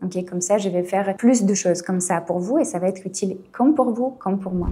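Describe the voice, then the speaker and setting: With a dark, mellow tone and a somewhat breathy quality, a woman talks at a fairly quick pace with hardly any pauses, her medium pitch showing ordinary variation. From Eastern Europe. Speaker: nail technician and beauty business coach. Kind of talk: tutorial. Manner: frequent fillers and 'ok?' checks.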